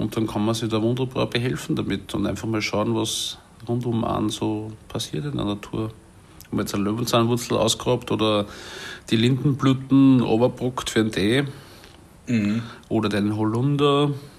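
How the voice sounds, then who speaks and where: A man speaks with medium pitch and fairly even intonation. His pace is moderate. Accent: Salzburg. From Salzburg, Austria. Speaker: chef and café owner. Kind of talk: casual interview. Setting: at home in his apartment.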